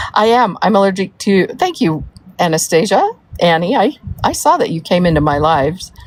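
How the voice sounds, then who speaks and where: A woman's lively intonation at a moderate pace, over noticeable background noise. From US South (Georgia, Florida), born in Wyoming. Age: 60s. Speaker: livestreamer, mother of a soap maker. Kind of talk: casual livestream chat reading comments. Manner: rambling, with many fillers.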